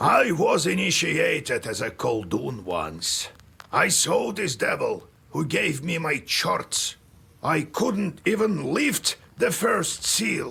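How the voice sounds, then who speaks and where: A man speaks in a put-on character voice at a very slow pace. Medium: video game. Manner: slow, solemn, world-weary.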